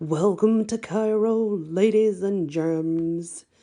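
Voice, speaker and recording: A put-on character voice that sounds female, pitched in the middle range, moves at a very slow pace. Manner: cheesy, hammy.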